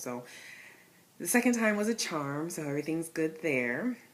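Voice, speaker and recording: This woman has an American accent and a fairly low pitch. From Connecticut. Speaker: vlogger sharing IVF journey. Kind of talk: personal vlog. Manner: casual, with many fillers.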